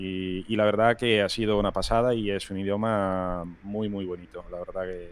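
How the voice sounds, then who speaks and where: A man speaks at a moderate pace with hardly any pauses, his fairly low voice held in a flat, monotone intonation. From Rome, Italy. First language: Italian (speaking Spanish). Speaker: video game environment artist. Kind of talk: casual interview chat.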